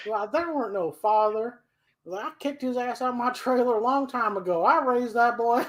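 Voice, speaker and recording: A woman's high-pitched, put-on character voice at a fairly quick pace. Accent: Texan. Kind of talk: folksy, colloquial. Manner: sassy, defiant.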